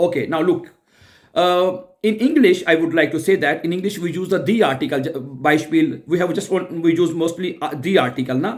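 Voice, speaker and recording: A man speaks in a Pakistani accent at a high pitch. His pace is moderate, and his pitch variation is ordinary. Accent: South Asian (Pakistani) English. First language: Urdu. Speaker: German language teacher. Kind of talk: tutorial. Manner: halting, many fillers and restarts.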